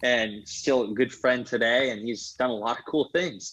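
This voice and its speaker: A man with an unremarkable speaking voice and an American accent, medium pitch, fairly even intonation and a moderate pace, against a quiet background. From Iowa. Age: 30s. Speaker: entrepreneur. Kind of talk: interview.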